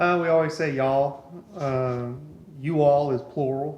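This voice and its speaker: A man speaks at a moderate pace in a fairly high pitch with monotone, flat intonation. Audible room echo and noticeable background noise fill the recording. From East Texas, Beaumont. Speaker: cath lab medical worker. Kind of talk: casual interview chat.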